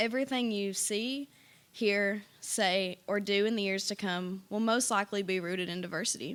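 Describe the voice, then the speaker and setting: A woman with an Appalachian accent speaks at a moderate pace in a medium pitch with ordinary pitch variation, on a very clean recording with a silent background. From eastern Kentucky, Appalachia (Pike County). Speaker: university student, essay contest winner. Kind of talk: reading aloud an essay.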